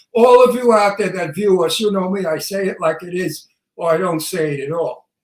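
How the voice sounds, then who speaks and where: Talking at a fairly quick pace, a man with a Brooklyn accent has a high pitch. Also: ordinary pitch variation. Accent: Brooklyn New York. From Brooklyn, New York. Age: 80s+. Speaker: talk show co-host, actor. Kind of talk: casual chat. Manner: animated.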